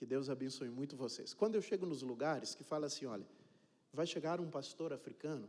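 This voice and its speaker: The man's voice has a fairly high pitch and a dark, mellow tone. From Cape Verde. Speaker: pastor. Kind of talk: sermon. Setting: church. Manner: casual, joking.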